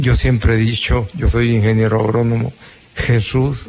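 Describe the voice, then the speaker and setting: Noticeable background noise sits behind a man speaking at a moderate pace. His medium pitch holds fairly even intonation. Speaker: agronomist, university lecturer, radio guest. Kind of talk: personal testimony on radio. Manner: halting.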